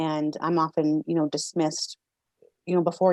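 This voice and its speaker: A woman's fairly low, flat, monotone voice at a very fast pace, with a Canadian accent, dry and close with no echo, against a quiet background. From Canada, Victoria BC. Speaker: financial officer, activist. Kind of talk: podcast interview. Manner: halting, many fillers and repeats.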